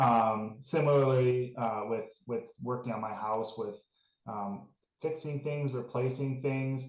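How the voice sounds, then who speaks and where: At a fairly slow pace, a man with a plain, everyday voice talks in a medium pitch with fairly even intonation. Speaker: school alumnus panelist. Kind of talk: panel discussion.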